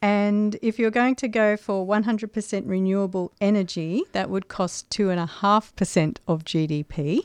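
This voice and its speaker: A woman with a plain, everyday voice, medium pitch and ordinary pitch variation, at a moderate pace with hardly any pauses, in a dry, close sound with no echo over a quiet background. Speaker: radio co-host. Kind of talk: casual chat. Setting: studio.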